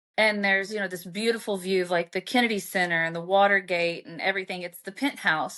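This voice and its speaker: Fairly quick and bright with a sharp tone, a woman's medium-pitched voice shows ordinary pitch variation. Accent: Southern US. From Arkansas, US South. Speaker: author. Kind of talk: interview storytelling.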